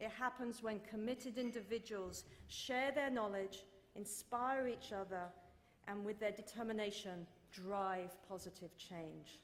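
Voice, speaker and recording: A woman with a British accent speaks fairly slowly at a medium pitch and with fairly even intonation, and audible room echo can be heard. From Britain. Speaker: corporate sustainability executive. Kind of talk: keynote speech. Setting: stage at dinner event with audience. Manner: formal.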